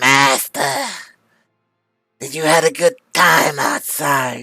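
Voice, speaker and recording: A put-on character voice, raspy and low-to-middle in pitch, speaks at a very slow pace. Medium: virtual streamer. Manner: servile.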